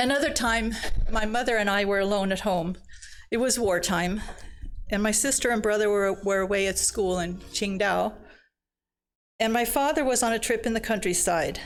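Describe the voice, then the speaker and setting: In a room with audible echo, a woman with a fairly high pitch speaks at a moderate pace and very even loudness, leaving long, frequent pauses. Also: ordinary pitch variation. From China, then Sweden. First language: Chinese. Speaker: missionary speaker. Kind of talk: personal testimony talk.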